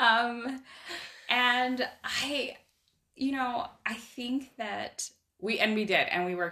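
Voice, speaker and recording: A woman with an American accent and lively intonation, music in the background. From Idaho. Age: 40s. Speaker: life coaching client. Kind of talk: casual interview. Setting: in person.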